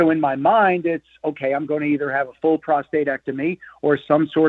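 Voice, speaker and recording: Here a man speaks at a moderate pace in a normal speaking voice. His pitch is fairly high. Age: 60s. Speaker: sports radio co-host. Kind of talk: casual chat.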